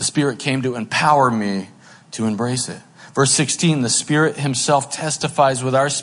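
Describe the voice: Pitch shifts in an ordinary way during this plain reading aloud.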